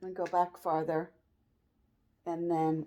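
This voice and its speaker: A woman speaks in a monotone, flat intonation at a fairly low pitch and a fairly slow pace. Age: 60s. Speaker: cross-stitch vlogger. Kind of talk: casual show-and-tell vlog. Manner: conversational, meandering.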